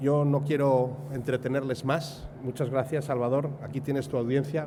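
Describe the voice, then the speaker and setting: A man's medium-pitched, dark, mellow and somewhat breathy voice with a Spanish accent and fairly even intonation. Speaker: event host. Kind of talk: speaker introduction.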